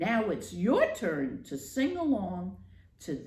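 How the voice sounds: Natural voice, reading a text aloud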